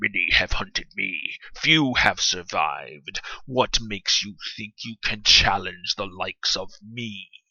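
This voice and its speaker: A man puts on a character voice. It is guttural and medium in pitch. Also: fairly slow pace. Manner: menacing, challenging.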